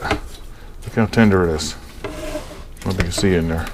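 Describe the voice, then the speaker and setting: A man speaks over noticeable background noise. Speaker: home cooking video host. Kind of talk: casual cooking tutorial. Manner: casual, chatty; mumbling.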